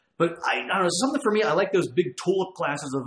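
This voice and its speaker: Audible room echo surrounds a man talking at a very fast pace. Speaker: show host. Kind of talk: casual show chat, reading viewer comments. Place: home room.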